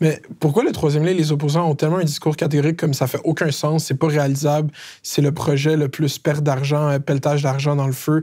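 A man's dark, mellow voice, fairly quick and flat in a monotone, with very even loudness over a quiet background. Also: fairly high pitch for a man. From Quebec, Laval; Quebec. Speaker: comedian interviewer, YouTube host. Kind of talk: political interview. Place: studio. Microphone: lapel.

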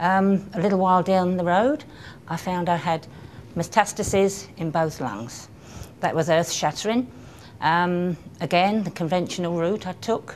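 In a southern English accent, a woman talks at a fairly slow pace with a fairly low pitch. Light background noise is audible. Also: ordinary pitch variation. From Kent, England. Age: 60s. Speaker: cancer patient. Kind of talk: patient testimonial. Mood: calm, reflective. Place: hall. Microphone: camera far.

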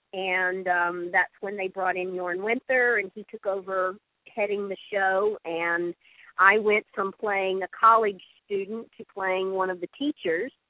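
There's an unremarkable speaking voice from a woman at medium pitch, with fairly even intonation. She goes at a fairly slow pace with big swings in loudness. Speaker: actress and voiceover artist. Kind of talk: interview answer.

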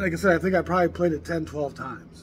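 Light background noise can be heard while a man talks. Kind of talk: casual vlog chat about records. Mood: enthusiastic, expressive. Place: cafe.

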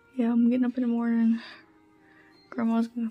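Faint music plays in the background while a woman speaks with monotone, flat intonation. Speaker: vlogger. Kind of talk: casual vlog chat. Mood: annoyed, low mood. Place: home room. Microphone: phone near.

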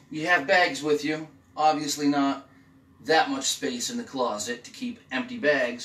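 A man speaks at a fairly slow pace. There is audible room echo and light background noise. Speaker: travel vlogger. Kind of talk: casual room tour. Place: home room.

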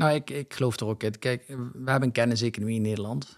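Over a quiet background, a man talks at a very fast pace. His pitch varies in an ordinary way. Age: 30s. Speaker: landscaping entrepreneur; guest. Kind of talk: interview. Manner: hesitant with filler sounds. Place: studio. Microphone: studio mic.

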